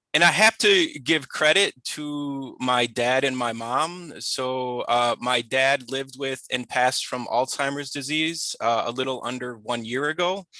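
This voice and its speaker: With an American accent, a man talks at medium pitch in a bright, sharp tone, with hardly any pauses. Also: ordinary pitch variation, fairly slow pace. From Chicago. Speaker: professor. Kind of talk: webinar presentation.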